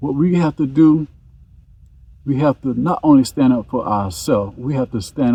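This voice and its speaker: A man speaks in a dark, mellow tone that is somewhat breathy. His pitch swings very widely at a moderate pace. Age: 70s. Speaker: farmer. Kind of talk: casual chat.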